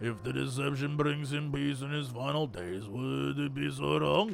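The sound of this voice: Someone performs a put-on character voice at a moderate pace. Clear music plays in the background. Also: man, medium pitch for a man.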